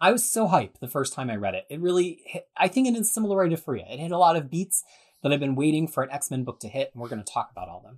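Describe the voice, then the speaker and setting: The speech moves at a very fast pace. The recording is very clean, with a silent background. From Canada. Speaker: comics podcast host. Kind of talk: casual chat.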